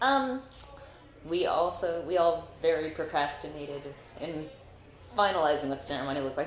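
A woman speaks with an American accent and ordinary pitch variation. Audible room echo and noticeable background noise surround her. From Northern California. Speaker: combat sport knight. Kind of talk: interview.

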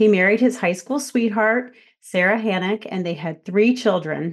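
The speaker uses an unremarkable speaking voice at a moderate pace, with ordinary pitch variation. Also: woman. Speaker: podcast host and speech pathologist. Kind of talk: interview conversation.

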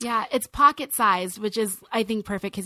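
A woman with an American accent speaks at a fairly quick pace in a bright, sharp tone with ordinary pitch variation, recorded very cleanly against a silent background with a dry, close sound and no echo. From California, Nigerian family. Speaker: international speaker and author. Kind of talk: interview.

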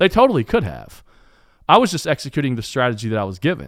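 A man with an Appalachian accent at a medium pitch, making very wide pitch swings, in a very clean recording with a silent background and a dry, close sound with no echo. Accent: Appalachian Southern US. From eastern Kentucky. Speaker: podcast host and sports designer. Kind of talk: casual interview. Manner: careful enunciation.

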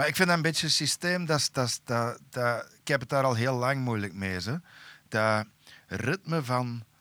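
A man's bright, sharp tone at medium pitch, with lively intonation and a fairly slow pace, in a dry, close sound with no echo. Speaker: metal musician. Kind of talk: casual chat.

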